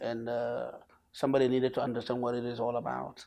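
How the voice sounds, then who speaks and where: A man with a northern Nigerian accent. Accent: northern Nigerian (Hausa) English. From northern Nigeria, Kano. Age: 60s. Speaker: professor. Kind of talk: TV interview.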